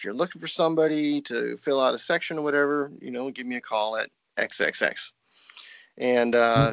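An unremarkable speaking voice from a man at a fairly high pitch, moderate pace and ordinary pitch variation, with big swings in loudness. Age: 50s. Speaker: trumpeter and music professor. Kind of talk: casual interview. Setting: Skype call.

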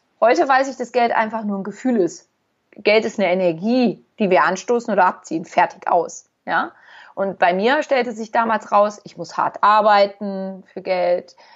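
At a moderate pace, a woman talks in an ordinary speaking voice, her medium pitch showing ordinary variation. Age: 40s. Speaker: therapist. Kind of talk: casual chat.

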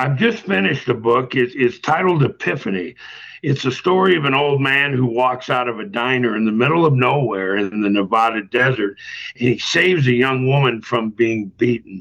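An unremarkable speaking voice from a man at medium pitch, moderate pace, ordinary pitch variation, and very even loudness. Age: 60s. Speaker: author. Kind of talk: interview.

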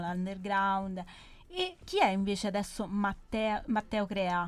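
On a very clean recording with a silent background, a woman with a plain, everyday voice speaks at a fairly slow pace in a medium pitch with fairly even intonation. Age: 20s. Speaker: radio host. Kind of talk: casual radio chat. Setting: studio. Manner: playful.

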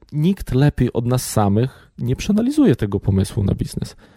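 A man's dark, mellow tone, dry and close with no echo, in a very clean recording with a silent background. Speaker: labour office deputy director, business plan evaluator. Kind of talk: interview.

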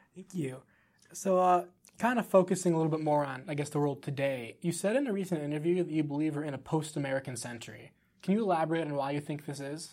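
Talking at a very fast pace, a man with a fairly high pitch and ordinary pitch variation comes through on a very clean recording with a silent background. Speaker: student podcast host. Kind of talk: interview questions.

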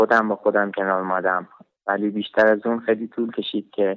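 Fairly low-pitched male speech, flat and monotone in its intonation. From Iran, Shiraz. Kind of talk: personal testimony. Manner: halting.

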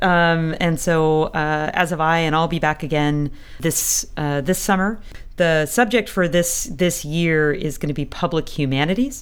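A woman's unremarkable speaking voice, fairly low in pitch with ordinary variation, at a fairly slow pace. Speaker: professor and co-host. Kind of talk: casual academic chat.

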